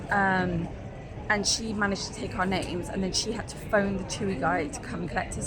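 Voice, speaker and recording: A woman talks at a fairly quick pace. The room echo is audible, and background noise is noticeable. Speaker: travel vlogger. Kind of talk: casual vlog. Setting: airport. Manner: quiet.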